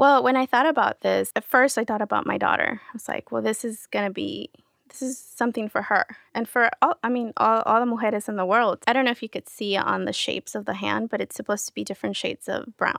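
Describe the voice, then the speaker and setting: A woman speaks very fast with a Spanish accent, the sound dry and close with no echo. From Querétaro, Mexico, raised San Diego. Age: 30s. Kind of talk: casual interview chat.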